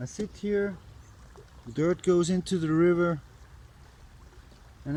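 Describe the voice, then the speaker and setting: With an Austrian accent and a dark, mellow tone, a man speaks at a fairly slow pace, his pitch fairly high with ordinary variation. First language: German (Austrian dialect). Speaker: bushcraft vlogger. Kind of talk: casual outdoor vlog while crafting. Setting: outdoors by a river. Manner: halting, non-native phrasing.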